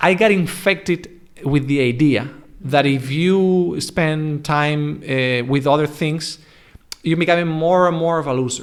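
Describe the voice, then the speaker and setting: A man with a European accent, fairly high in pitch, at a fairly slow pace. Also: ordinary pitch variation. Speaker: English coach. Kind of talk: casual chat. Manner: halting, many false starts.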